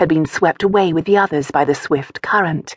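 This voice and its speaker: Speaking at a moderate pace, a woman with a fairly low, plain, everyday voice varies her pitch in an ordinary way. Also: dry, close sound with no echo. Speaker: audiobook narrator. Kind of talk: audiobook narration of a historical romance. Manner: measured, smooth storytelling pace.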